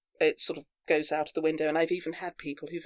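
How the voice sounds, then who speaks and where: A woman talks with an English accent. The sound is dry and close, with no echo. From England, Devon. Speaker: actor and theatre group founder. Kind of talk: interview. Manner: hesitant, many fillers and restarts.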